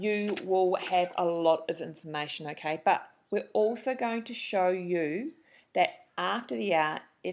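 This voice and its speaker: Against a quiet background, a woman with a New Zealand accent speaks fairly slowly at a fairly low pitch with ordinary pitch variation. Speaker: marathon runner and trainer, webinar host. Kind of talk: webinar introduction. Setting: online webinar. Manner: animated.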